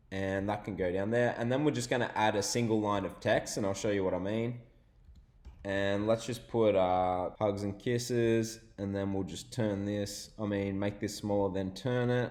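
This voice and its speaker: With an Australian accent, the speaker keeps a moderate pace and fairly even intonation. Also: man, fairly low pitch for a man. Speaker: online business tutorial youtuber. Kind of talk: screen-share tutorial.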